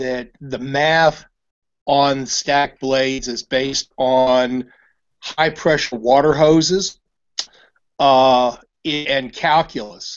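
Over a quiet background, a man with an American accent talks very slowly, his intonation fairly even and his pauses long and frequent. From US Midwest. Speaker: inventor. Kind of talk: casual discussion on video call. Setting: video call. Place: home room. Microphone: webcam.

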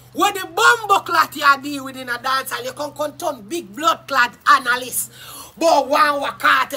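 An animated tone in a Jamaican accent at a fairly slow pace. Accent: Jamaican Patois. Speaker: YouTube live streamer. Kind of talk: casual live-stream rant. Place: garden. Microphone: phone near.

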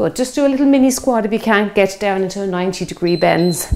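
Lively intonation marks the woman's speech. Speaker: fitness instructor. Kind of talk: workout instruction. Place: home room.

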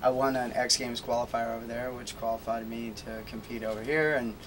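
With an American accent, a man talks fairly quickly at medium pitch, keeping his intonation fairly even.

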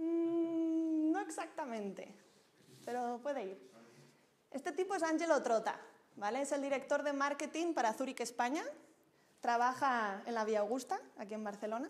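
Animated and high in pitch, a woman talks at a moderate pace with long, frequent pauses. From Spain, Zaragoza. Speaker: microfinance professional, speaker. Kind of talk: lecture. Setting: stage with audience. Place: hall.

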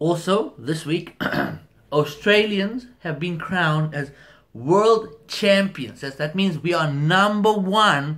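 A man speaks at a very slow pace in a high voice. The background is quiet. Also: ordinary pitch variation. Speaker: home vlogger. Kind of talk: casual vlog chat. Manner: relaxed talk while lying in bed. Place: home room. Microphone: phone near.

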